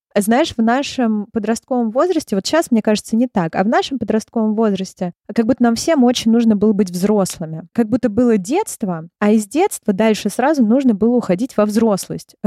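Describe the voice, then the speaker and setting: With hardly any pauses, a woman speaks at a moderate pace in a fairly high pitch and a dark, mellow tone, with ordinary pitch variation, very even loudness, and a dry, close sound with no echo. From Russia, Moscow. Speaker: clinical psychologist. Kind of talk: interview.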